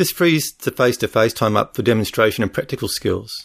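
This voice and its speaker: The speaker has an Australian accent and talks at a fairly quick pace. The recording is very clean, with a silent background. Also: man. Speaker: podcast host. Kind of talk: solo podcast monologue.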